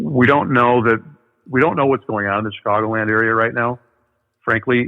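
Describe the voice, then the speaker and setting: A man with a medium-pitched voice talks fairly quickly, his pitch varying in an ordinary way. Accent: Midwestern American. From US Midwest, northern Illinois. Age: 50s. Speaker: paranormal researcher. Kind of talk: interview.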